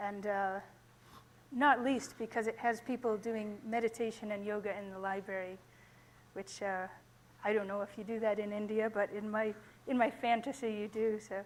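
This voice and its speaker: With an American accent, a woman speaks at a moderate pace in a fairly high pitch, keeping fairly even intonation and leaving long, frequent pauses. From United States. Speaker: data librarian. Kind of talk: conference talk. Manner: hesitant, many fillers.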